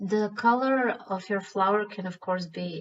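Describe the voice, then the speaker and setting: A woman speaks very slowly with a Croatian accent. Her pitch sits in the medium range. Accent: Croatian accent, self-described as bad. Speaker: stone painting artist. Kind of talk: tutorial.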